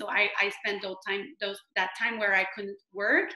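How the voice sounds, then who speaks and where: A woman's medium-pitched voice with a strong French Canadian accent. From Quebec, Canada. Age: 30s. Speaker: direct sales team leader. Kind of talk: online training presentation. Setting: video call. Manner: halting.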